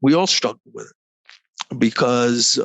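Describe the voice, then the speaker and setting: Dry and close with no echo, the recording has a man speaking at medium pitch with ordinary pitch variation. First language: Croatian. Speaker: negotiation consultant. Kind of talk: interview. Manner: halting, many repeated words.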